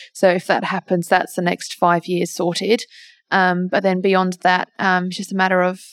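A woman speaks with an Australian accent. The recording is very clean with a silent background, and the sound is dry and close with no echo. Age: 20s. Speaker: wildlife carer. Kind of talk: interview. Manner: hesitant, many fillers.

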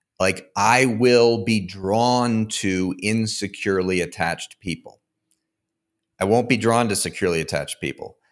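In an American accent, a man with a plain, everyday voice speaks at a fairly low pitch and a moderate pace, with ordinary pitch variation on a very clean recording with a silent background. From Connecticut, US. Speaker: therapist and podcaster. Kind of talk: interview, explanatory.

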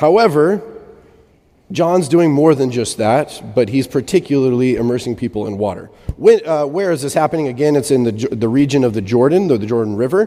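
A man with a fairly high voice and lively intonation speaks at a fairly quick pace while noticeable background noise carries on. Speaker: preacher. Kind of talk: sermon.

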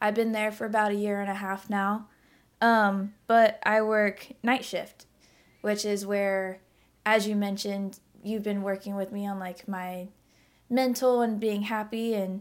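In a very clean recording with a silent background, a woman with a Midwestern US accent talks at a fairly slow pace, her medium pitch held in a flat monotone. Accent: US Midwest. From Indiana, Indianapolis. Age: 20s. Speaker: photographer and warehouse team lead. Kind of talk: casual chat.

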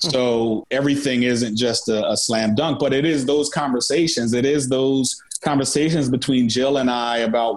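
There is noticeable background noise as a man speaks with an American accent. His pitch is medium and his intonation fairly even. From Philadelphia. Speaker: music manager and festival producer. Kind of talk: interview.

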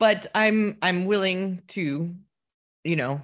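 With a northern American accent, a woman speaks with ordinary pitch variation. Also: quiet background. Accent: northern American, close to Canadian. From northern US. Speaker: podcast co-host. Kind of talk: casual political chat.

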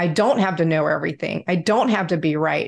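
Against a quiet background, a woman uses a normal speaking voice with ordinary pitch variation. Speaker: security industry advisor, co-host. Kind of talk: interview.

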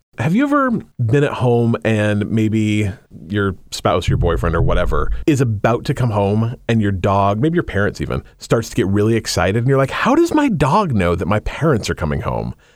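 A man with an American accent and a medium pitch talks at a moderate pace with lively intonation over noticeable background noise. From Utah. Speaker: podcast co-host. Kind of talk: casual chat.

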